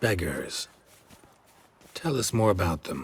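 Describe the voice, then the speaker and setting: Using a put-on character voice, a man delivers a deadpan tone at a fairly low pitch and a fairly slow pace. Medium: video game. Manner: terse, gravelly, deadpan.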